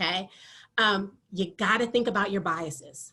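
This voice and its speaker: A woman speaks loudly at a moderate pace in a bright, sharp tone with ordinary pitch variation. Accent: American. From Michigan, US (military family). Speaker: athletic training professor. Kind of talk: lecture.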